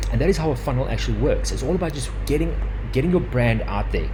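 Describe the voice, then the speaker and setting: A very deep, low male voice, very fast and flat in a monotone, with audible room echo and noticeable background noise. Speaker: digital marketing webinar presenter. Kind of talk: live webinar presentation. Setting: live webinar with headset.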